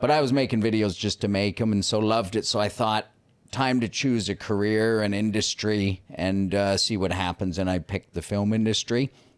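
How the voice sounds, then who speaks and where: Using a plain, everyday voice, a man talks at a moderate pace with a fairly low pitch, fairly even intonation and very even loudness, on a very clean recording with a silent background. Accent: Canadian. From Canada. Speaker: YouTuber. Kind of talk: casual interview chat.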